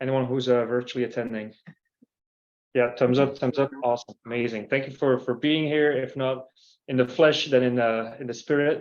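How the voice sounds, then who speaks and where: A man speaks in a Belgian accent at medium pitch. His intonation is monotone and flat. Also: moderate pace. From Belgium. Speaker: company CEO and user group host. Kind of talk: event welcome and presentation. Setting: in-person meetup streamed to a call. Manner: hesitant, many fillers.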